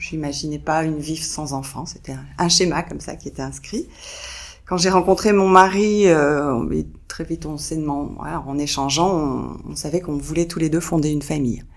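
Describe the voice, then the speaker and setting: Her voice is very deep and low, with vocal fry. The woman speaks at a moderate pace. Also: big swings in loudness. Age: 50s. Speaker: grandmother. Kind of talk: testimony. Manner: halting.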